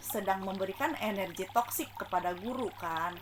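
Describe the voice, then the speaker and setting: A woman with a medium-pitched voice speaks at a moderate pace over noticeable background noise. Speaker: spiritual self-help vlogger. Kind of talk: casual talk. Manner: loud.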